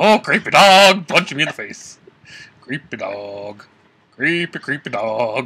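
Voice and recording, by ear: A cartoonish character voice from a man, slow, with big pitch swings, a bright, sharp tone and a slightly husky edge. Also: medium pitch for a man.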